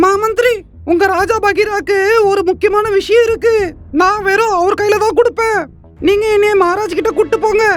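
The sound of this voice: A cartoonish character voice speaks at a fairly slow pace while music plays clearly in the background.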